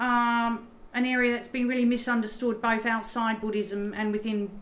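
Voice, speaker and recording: A woman speaks in a flat, monotone way at a fairly high pitch, with an Australian accent. Room echo is audible. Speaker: professor. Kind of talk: lecture. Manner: halting, many fillers.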